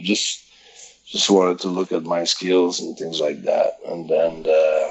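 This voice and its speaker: A man with a Quebec accent speaks at a fairly slow pace in a very deep, low pitch. Noticeable background noise is present. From Quebec, French-speaking area. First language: French. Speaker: professional wrestler. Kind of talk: interview. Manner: halting, many fillers.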